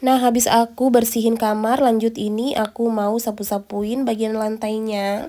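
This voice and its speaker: A woman's fairly high-pitched voice with a dark, mellow tone and monotone, flat intonation. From rural Indonesia. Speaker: vlogger, stay-at-home mother. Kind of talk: vlog voice-over. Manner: casual, chatty; stumbling over words.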